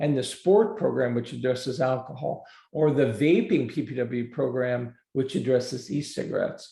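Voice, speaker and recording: A man speaks at a medium pitch with a dark, mellow tone and vocal fry. His pace is fairly quick, and his pitch varies in an ordinary way. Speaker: prevention program trainer. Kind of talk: webinar presentation. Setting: online webinar.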